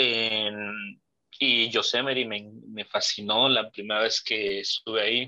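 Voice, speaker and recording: Over a quiet background, a man with a bright, sharp tone speaks at a fairly slow pace with fairly even intonation. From Mexico. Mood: reflective, nostalgic. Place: home room. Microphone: video call.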